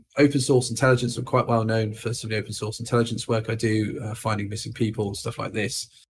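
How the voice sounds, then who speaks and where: A somewhat breathy man at a medium pitch. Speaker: information security speaker. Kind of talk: conference talk. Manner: hesitant, many fillers.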